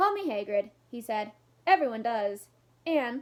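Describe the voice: The speaker is doing plain reading aloud.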